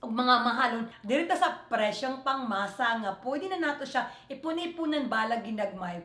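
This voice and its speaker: A woman speaks with a high pitch, an animated tone and lively intonation at a moderate pace. There is audible room echo. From Philippines, Visayas. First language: Cebuano (Bisaya) (speaking Tagalog). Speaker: beauty vlogger. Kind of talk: makeup tutorial.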